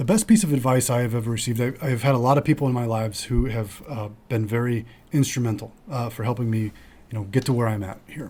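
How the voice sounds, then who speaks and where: A man's medium-pitched voice, somewhat breathy with a dark, mellow tone, shows ordinary pitch variation. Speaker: financial advisor and podcast host. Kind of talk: casual chat. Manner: mumbles and trips over words when not slowing down.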